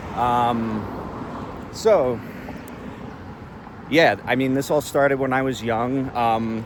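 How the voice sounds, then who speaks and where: A man's medium-pitched voice with ordinary pitch variation and noticeable background noise. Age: 40s. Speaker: daily vlogger. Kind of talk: casual monologue. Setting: outdoors, walking with selfie stick. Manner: rambling, halting with fillers.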